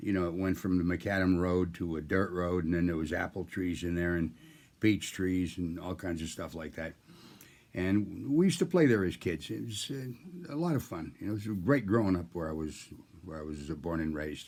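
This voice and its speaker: A man with an American accent talks at a moderate pace in a very deep, low voice with ordinary pitch variation. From US Northeast. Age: 80s+. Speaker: storyteller. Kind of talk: storytelling. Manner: casual, conversational.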